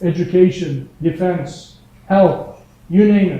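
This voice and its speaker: A man speaks in a high voice, with audible echo from the room. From Turkey. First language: Turkish. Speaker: entrepreneur and workshop instructor. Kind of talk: lecture. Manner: casual, conversational.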